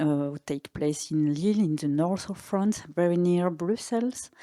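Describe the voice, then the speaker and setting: A woman's dark, mellow voice, fairly low in pitch with ordinary variation, at a moderate pace, in a dry, close sound with no echo on a very clean recording with a silent background. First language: French and Italian. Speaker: artistic director. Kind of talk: panel discussion. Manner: halting, searching for words.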